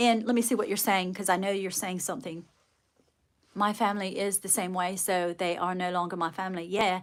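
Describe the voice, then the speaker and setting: Pausing often and at length, a woman with a slight British accent speaks at a moderate pace and a medium pitch. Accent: slight British RP touches. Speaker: livestreamer and children's author. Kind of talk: casual livestream chat. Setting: live stream reading viewer comments.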